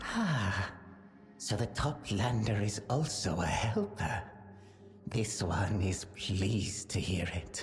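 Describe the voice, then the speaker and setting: A put-on character voice, low in pitch and very slow, against clear background noise. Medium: video game. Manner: speaks of itself in third person, stilted.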